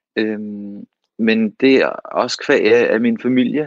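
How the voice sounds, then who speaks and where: This is a man speaking at a medium pitch. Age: 30s. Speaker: actor, co-host. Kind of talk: casual chat. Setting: home, remote. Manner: halting.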